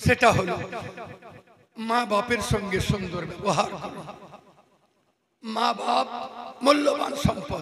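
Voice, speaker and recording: Audible room echo surrounds a man with a high pitch and ordinary pitch variation. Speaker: Islamic preacher. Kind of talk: sermon.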